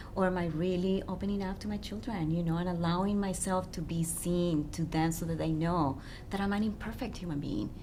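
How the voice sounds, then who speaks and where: A woman with a non-native accent talks fairly quickly in a fairly low voice with fairly even intonation, hardly pausing, amid audible room echo. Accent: foreign accent in English. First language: not English. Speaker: relationship coach. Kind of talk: radio interview.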